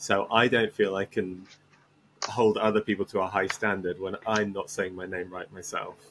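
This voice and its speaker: With an English accent and a fairly low pitch, a man talks at a moderate pace in a flat monotone. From England. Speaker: tech startup CEO. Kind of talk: podcast interview.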